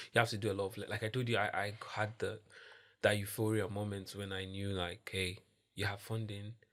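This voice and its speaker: A man's fairly low, monotone voice with flat intonation at a fairly quick pace, on a very clean recording with a silent background. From Nigeria. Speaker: social entrepreneur. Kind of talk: podcast interview. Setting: podcast. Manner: casual, filler-heavy speech.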